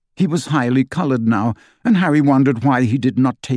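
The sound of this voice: The voice reads aloud. It sounds unforced.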